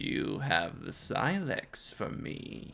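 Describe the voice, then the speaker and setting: A man performs a put-on character voice that is both resonant and raspy. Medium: read story.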